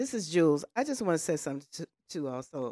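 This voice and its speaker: A woman's voice on a very clean recording, silent background, with a dry, close sound with no echo. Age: 60s. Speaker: podcast panelist. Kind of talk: casual chat.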